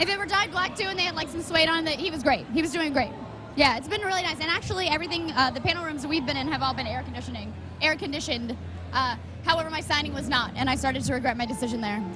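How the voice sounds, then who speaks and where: A woman with an American accent uses a raised, projected voice at a high pitch, talking very fast with lively intonation. Noticeable background noise and audible room echo fill the recording. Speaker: live stream host. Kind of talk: casual chat. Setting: convention live stream.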